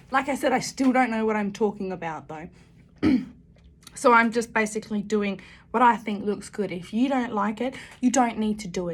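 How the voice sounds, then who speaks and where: On a very clean recording with a silent background, a woman with a fairly high, somewhat breathy voice speaks at a moderate pace with ordinary pitch variation and long, frequent pauses. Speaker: makeup YouTuber. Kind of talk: makeup tutorial. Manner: casual, mumbling to herself.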